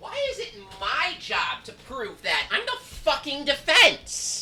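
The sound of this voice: In a put-on character voice pitched high, the speaker moves at a fairly slow pace with very wide pitch swings.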